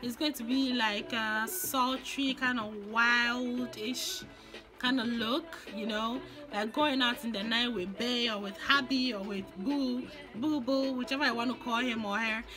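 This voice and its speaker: A woman speaks at a high pitch and a fairly slow pace, with ordinary pitch variation. Music plays in the background. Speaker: makeup vlogger. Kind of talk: casual makeup tutorial talk to camera.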